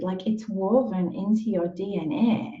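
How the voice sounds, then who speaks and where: Somewhat breathy and dark, mellow in tone, a woman's voice moves with ordinary pitch variation. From northeast England. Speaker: life coach. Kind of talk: live video group session.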